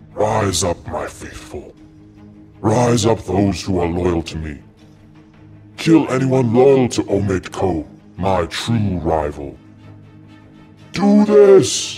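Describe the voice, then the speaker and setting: Putting on a booming, menacing character voice, a man speaks at a very slow pace in a fairly low pitch, with long, frequent pauses and faint music in the background. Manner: commanding, menacing.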